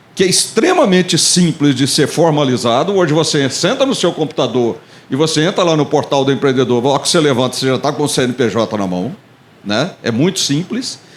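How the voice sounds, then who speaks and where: With lively intonation and a fairly high pitch, a man speaks at a fairly quick pace over noticeable background noise. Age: 60s. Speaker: business support agency director. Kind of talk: panel talk.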